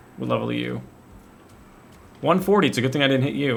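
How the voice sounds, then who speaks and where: A man talks at a very fast pace. Audible room echo fills the recording. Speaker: gaming video creator. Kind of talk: gameplay commentary. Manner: casual, thinking aloud.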